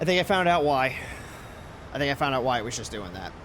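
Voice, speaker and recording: There is ordinary pitch variation as a man speaks with an American accent. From New York. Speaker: flight sim streamer. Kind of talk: casual live-stream chat. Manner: casual, filler-heavy.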